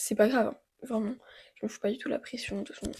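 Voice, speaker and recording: A woman's high-pitched voice at a very fast pace. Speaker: fitness vlogger. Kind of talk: vlog monologue. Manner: casual, informal.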